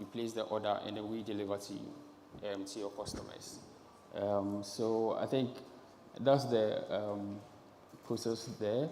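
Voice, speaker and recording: With long, frequent pauses, a man talks at a fairly slow pace. His intonation is fairly even, and the room echo is audible. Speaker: marketing lead presenting a startup. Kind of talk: stage presentation. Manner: halting, many fillers.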